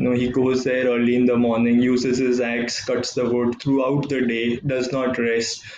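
A man speaks at a moderate pace with audible room echo and light background noise. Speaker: tennis coach giving a talk. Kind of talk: motivational talk. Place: home room. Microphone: webcam.

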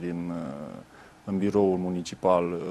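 A man speaks at a very slow pace. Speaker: party youth leader. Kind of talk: interview answer. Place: studio. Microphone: lapel.

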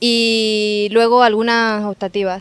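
Monotone, flat intonation at a very slow pace. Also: woman. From Seville, Andalusia, Spain. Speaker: university journalism student. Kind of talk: street interview answers. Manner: casual, conversational.

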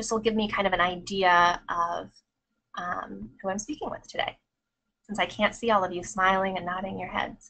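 Her American accent comes through as a woman speaks at a medium pitch and a moderate pace. The tone is bright and sharp, with ordinary pitch variation. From Minnesota. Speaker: clinical psychologist. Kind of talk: lecture. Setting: online webinar. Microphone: webcam.

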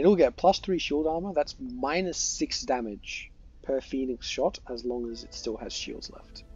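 A high-pitched man with very wide pitch swings and big swings in loudness, over music in the background. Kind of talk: game tutorial commentary. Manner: hesitant, filler-heavy.

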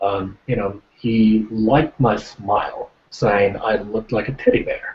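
The speaker is a man with a fairly low pitch and a somewhat breathy voice. He talks at a fairly slow pace with fairly even intonation. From Japan. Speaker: actor. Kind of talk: casual chat; interview answer. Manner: halting. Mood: modest, friendly. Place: home room. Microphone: webcam.

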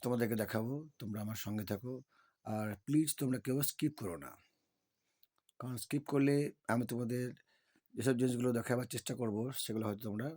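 A man speaks with a dark, mellow tone at medium pitch. His intonation stays fairly even. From West Bengal, Birbhum district. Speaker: travel vlogger. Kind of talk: travel vlog narration. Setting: outdoors at a temple.

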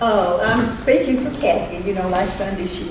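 Over noticeable background noise and audible room echo, a woman talks. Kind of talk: church announcement, casual. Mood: light-hearted, laughing. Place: church. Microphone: podium.

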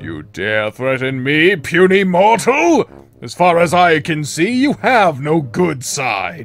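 A man does a put-on character voice, fairly high-pitched, at a fairly slow pace. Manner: indignant; sinister, menacing.

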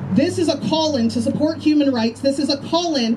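A woman talks at a fairly quick pace in a high pitch with lively intonation, over noticeable background noise. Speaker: school board commissioner; speaker. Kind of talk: rally speech. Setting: outdoors. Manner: impassioned. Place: street. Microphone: podium.

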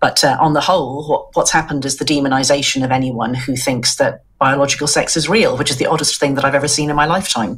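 Hardly pausing, a somewhat breathy woman with an Irish accent speaks at a very fast pace, her very deep, low pitch held in fairly even intonation. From Ireland. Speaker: journalist. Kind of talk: interview. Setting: video call. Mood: earnest, concerned. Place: home room.

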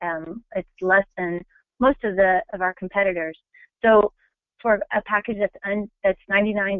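A woman with a medium-pitched, normal speaking voice talks at a moderate pace. Her intonation is fairly even. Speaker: travel company business development manager. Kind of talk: webinar sales presentation. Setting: webinar.

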